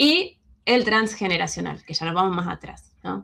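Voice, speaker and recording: Very slowly, a woman speaks in a bright, sharp tone at a medium pitch, with vocal fry. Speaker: alternative health speaker. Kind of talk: lecture.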